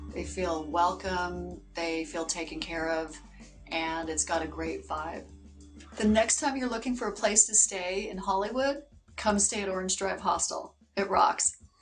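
Faint music plays in the background. The speech moves at a fairly slow pace. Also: woman. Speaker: hostel manager. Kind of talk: interview answer. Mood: warm, promotional, upbeat. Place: home room. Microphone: lapel.

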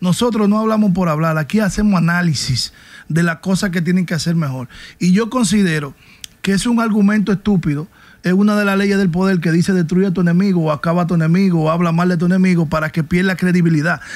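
A man talks at a very fast pace in a high pitch, his loudness kept very even throughout. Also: ordinary pitch variation. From Dominican Republic. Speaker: podcast co-host, segment presenter. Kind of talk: opinion commentary. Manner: animated. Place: studio. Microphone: studio mic.

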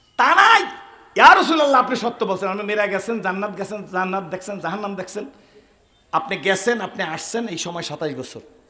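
A man with a high pitch speaks in a raised, projected voice with an animated tone and ordinary pitch variation. Room echo is audible. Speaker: Islamic preacher. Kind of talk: sermon.

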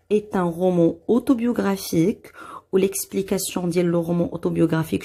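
A woman with a Moroccan accent talks at a fairly quick pace. Her voice is fairly low, with a dark, mellow tone. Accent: Moroccan Darija. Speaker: French teacher. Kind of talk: tutorial.

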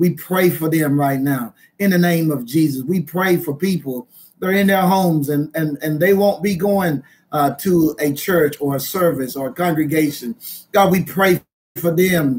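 Light background noise sits behind a man talking at a moderate pace. His pitch varies in an ordinary way. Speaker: minister. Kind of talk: prayer and sermon. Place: home room. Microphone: webcam.

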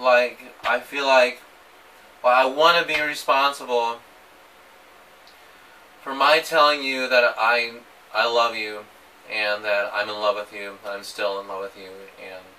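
A man at a fairly slow pace, long, frequent pauses, big swings in loudness, ordinary pitch variation. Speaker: vlogger. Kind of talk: emotional personal vlog message. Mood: emotional, hesitant, nervous laughs. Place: empty room. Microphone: camera far.

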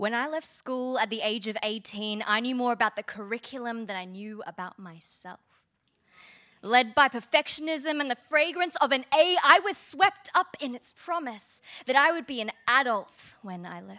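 A woman with an Australian accent speaks at a moderate pace in a bright, sharp tone, her high pitch swinging very widely. Her loudness shifts in big swings against a quiet background. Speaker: spoken word poet. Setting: stage with audience. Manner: impassioned and building in intensity, rising to a rallying call; wry comic timing, pausing for laughs after ironic lines. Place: stage. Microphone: handheld.

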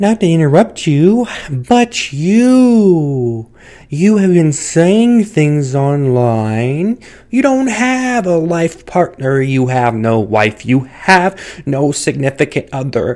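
A cartoonish character voice at a middle pitch drags along very slowly with very wide pitch swings. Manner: earnest, lecturing, slightly stilted.

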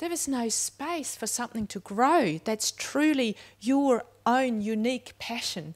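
Lively intonation from a woman with a high pitch, at a very slow pace. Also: quiet background. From Switzerland. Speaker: educator. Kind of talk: panel discussion. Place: tent. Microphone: handheld.

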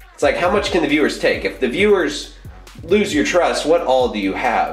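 Faint music plays in the background as a man talks amid audible room echo. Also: moderate pace. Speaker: fitness vlogger. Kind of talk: casual vlog chat. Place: bathroom. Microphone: phone near.

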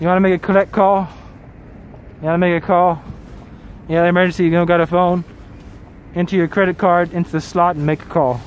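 At a very fast pace and in a flat monotone, a man with a high-pitched voice speaks with long, frequent pauses, the sound dry and echo-free over light background noise. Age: 40s. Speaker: travel live streamer. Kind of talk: casual live stream commentary reading chat. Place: street. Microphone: phone near.

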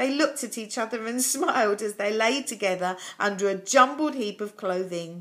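The words are read aloud. The speaker uses a natural voice.

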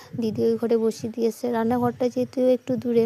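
The woman's fairly high-pitched voice has a dry, close sound with no echo, though noticeable background noise is present. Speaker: vlogger. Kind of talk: vlog narration.

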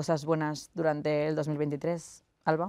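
Over a quiet background, a woman speaks with a very deep, low pitch. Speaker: debate moderator. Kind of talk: moderated panel discussion. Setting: studio. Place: studio.

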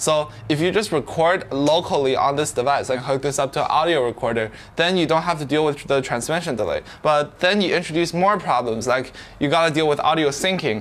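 A man talks fairly quickly, his pitch varying in an ordinary way. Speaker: vlogger reviewing microphones. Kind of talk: casual tutorial talk to camera. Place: home room. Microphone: lapel.

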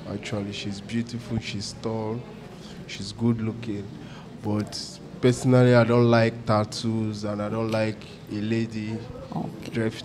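Clear music plays in the background as a medium-pitched man speaks at a fairly slow pace in a monotone, flat intonation with long, frequent pauses. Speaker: dating show contestant. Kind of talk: casual chat. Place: studio. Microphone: handheld.

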